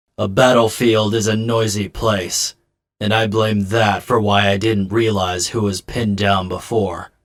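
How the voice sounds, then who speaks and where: This man puts on a character voice, pitched fairly low. He speaks at a fairly slow pace. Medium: fan dub. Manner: calm, measured, introspective.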